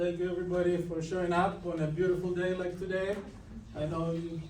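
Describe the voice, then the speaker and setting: A man speaks at a high pitch and a fairly quick pace in monotone, flat intonation. Noticeable background noise and audible room echo fill the recording. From Greece. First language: Greek. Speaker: business owner. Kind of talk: guest lecture. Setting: university classroom.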